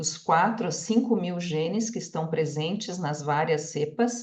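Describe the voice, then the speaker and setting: Over audible room echo, a woman talks at a fairly slow pace in a fairly low, somewhat breathy voice with ordinary pitch variation. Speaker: microbiology researcher. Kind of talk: lecture.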